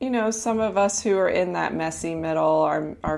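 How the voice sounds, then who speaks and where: The woman speaking has a warm tone. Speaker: health and life coach, podcast host. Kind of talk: casual unscripted podcast talk to listeners. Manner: conversational, warm, with hesitations and fillers.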